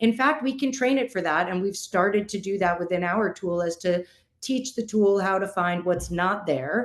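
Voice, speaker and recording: At a moderate pace, a woman talks in an unremarkable speaking voice with medium pitch and ordinary pitch variation. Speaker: in-house attorney, panel speaker. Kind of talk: conference presentation. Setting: virtual summit, video call.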